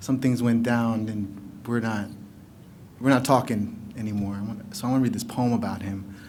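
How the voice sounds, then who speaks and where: Speech comes at a moderate pace with fairly even intonation. Audible room echo surrounds it. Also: man, medium pitch for a man. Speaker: poet. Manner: loud.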